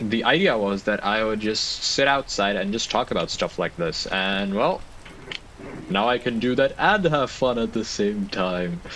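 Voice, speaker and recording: A man speaks at a fairly slow pace with a non-native accent, his pitch fairly low and its variation ordinary. Noticeable background noise runs under the recording. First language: not English. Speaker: gaming youtuber. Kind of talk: gameplay commentary. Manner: rambling, halting.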